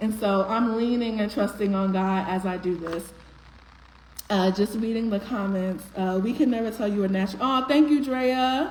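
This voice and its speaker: Animated tone from a woman at a medium pitch and moderate pace, with ordinary pitch variation, audible room echo and noticeable background noise. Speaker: motivational speaker, live stream host. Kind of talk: live stream motivational talk. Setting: live stream. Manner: voice cracks slightly from nerves; conversational, animated.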